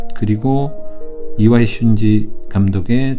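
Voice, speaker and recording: Backed by music, a man speaks at a fairly low pitch with ordinary pitch variation. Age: 40s. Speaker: film commentator. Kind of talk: film commentary narration.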